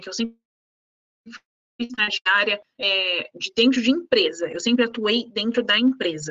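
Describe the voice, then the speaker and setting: A woman with a plain, everyday voice, fairly high in pitch, at a moderate pace, in a dry, close sound with no echo. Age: 20s. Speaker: lawyer. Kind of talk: casual chat. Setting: live stream.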